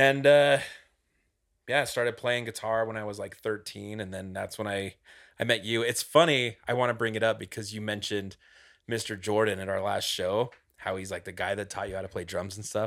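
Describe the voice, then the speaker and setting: On a very clean recording with a silent background, a man with an unremarkable speaking voice talks at a moderate pace, his pitch fairly low and his intonation fairly even. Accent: American. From Utah, Cedar City. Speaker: guitarist in a band. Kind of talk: casual chat.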